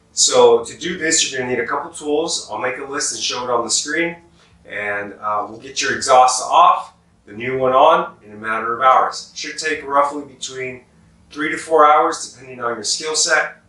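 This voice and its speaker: Against noticeable background noise, a man with a fairly high pitch and ordinary pitch variation talks at a moderate pace. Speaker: motorcycle exhaust installer. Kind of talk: instructional how-to narration. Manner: casual.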